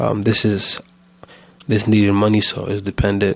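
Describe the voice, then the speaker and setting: A fairly low-pitched male voice. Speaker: solo vlogger, small business owner. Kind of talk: casual weekly update vlog. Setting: home recording. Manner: fast; hesitant, many fillers and restarts.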